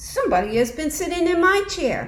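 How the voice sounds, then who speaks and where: A woman projects a raised, put-on character voice at an extremely high pitch, speaking at a moderate pace. Background noise is clearly heard. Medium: read story. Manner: gruff.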